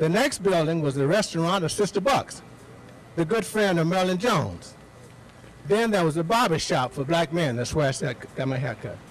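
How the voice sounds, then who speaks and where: A man with a high voice and lively intonation talks at a moderate pace over noticeable background noise. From Mississippi Delta, Hollandale. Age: 70s. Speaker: speaker at a community event. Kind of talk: public talk.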